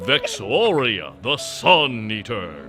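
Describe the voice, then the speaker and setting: A man's put-on character voice at medium pitch, with clear music in the background. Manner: booming, dramatic.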